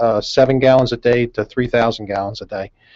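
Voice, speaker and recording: With a Northeastern US accent, a man speaks at a fairly quick pace. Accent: Northeast US. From US Northeast, outside Philadelphia. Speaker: company CEO. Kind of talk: radio interview. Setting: studio.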